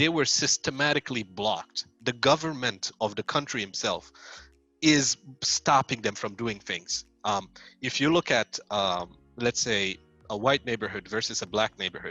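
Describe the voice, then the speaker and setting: Music plays in the background as a man speaks at medium pitch and a moderate pace. His pitch varies in an ordinary way, and the sound is dry and close with no echo. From Saudi Arabia. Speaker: software engineer. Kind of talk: interview answer.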